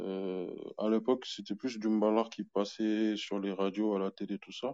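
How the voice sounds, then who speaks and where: A man speaks at a fairly slow pace in a fairly low voice. His intonation stays monotone and flat. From Senegal (Dakar and Thiès). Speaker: music producer. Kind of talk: interview.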